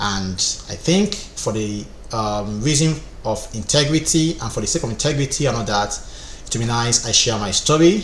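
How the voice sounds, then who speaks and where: There is noticeable background noise as a man talks at a moderate pace. His medium pitch moves with lively intonation. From Nigeria, Rivers State. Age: 30s. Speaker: structural engineer and online instructor. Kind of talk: personal life story.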